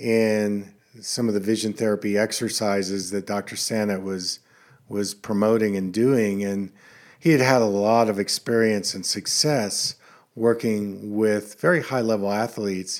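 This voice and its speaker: A man with an American accent and a normal speaking voice talks at a fairly slow pace. His pitch is fairly low, and the recording is very clean with a silent background. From central Pennsylvania. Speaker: optometrist and podcast host. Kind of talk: solo podcast monologue. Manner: casual, conversational with fillers.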